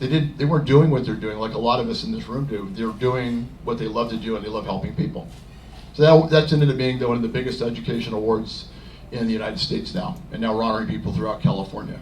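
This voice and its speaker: A man speaks very fast at a medium pitch, with ordinary pitch variation. Room echo is audible. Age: 60s. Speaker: club member, podcast and event producer. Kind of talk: self-introduction talk at club meeting. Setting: club meeting with audience. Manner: halting.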